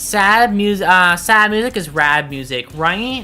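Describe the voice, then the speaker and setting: A fairly slow pace with music in the background. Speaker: VTuber streamer. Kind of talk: casual live-stream chat. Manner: halting, many fillers and restarts.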